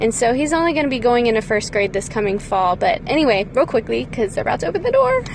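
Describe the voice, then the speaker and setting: A woman talks very fast with hardly any pauses, her high-pitched voice full of lively intonation. Noticeable background noise runs underneath. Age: 30s. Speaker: parent podcaster. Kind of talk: devotional monologue.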